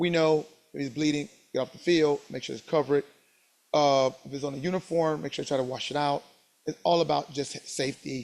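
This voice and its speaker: Fairly quick in pace, this man's voice sits at a fairly high pitch. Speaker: sports officiating instructor. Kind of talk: lecture. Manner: fast.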